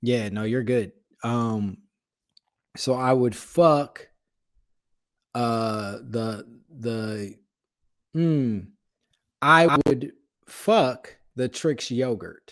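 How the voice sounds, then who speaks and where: A man with an American accent speaks at a very slow pace, leaving long, frequent pauses. His pitch sits in the medium range. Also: ordinary pitch variation. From Chicago area, Illinois. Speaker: comedian and podcaster. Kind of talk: casual chat.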